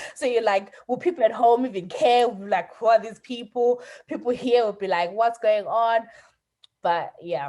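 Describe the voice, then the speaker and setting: This woman has a fairly high pitch and a dark, mellow tone. Her intonation is lively and her pace is moderate. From Zimbabwe. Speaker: podcaster. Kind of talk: casual interview chat. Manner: hesitant, repeats words.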